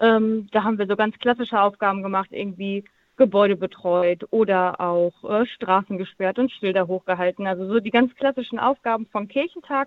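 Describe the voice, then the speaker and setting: A woman speaks at a medium pitch with ordinary pitch variation. Her pace is moderate, with hardly any pauses. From northern Germany near Denmark. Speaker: church volunteer. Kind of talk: interview. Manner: hesitant with fillers.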